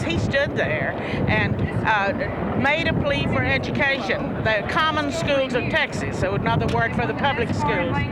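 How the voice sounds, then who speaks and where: A woman with a high pitch and lively intonation speaks at a moderate pace and very even loudness, with audible room echo and noticeable background noise. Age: 70s. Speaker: political commentator. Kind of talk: live broadcast commentary.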